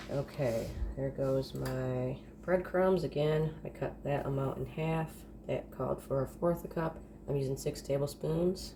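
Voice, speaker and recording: Noticeable background noise surrounds a woman speaking fairly slowly. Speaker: home cooking vlogger. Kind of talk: casual cooking tutorial. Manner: casual, chatty.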